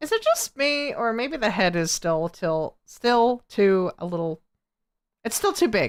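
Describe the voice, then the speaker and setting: A woman with an American accent speaks at a fairly slow pace with very wide pitch swings, on a very clean recording with a silent background. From United States. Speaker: artist streamer. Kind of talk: casual chat. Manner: stuttering.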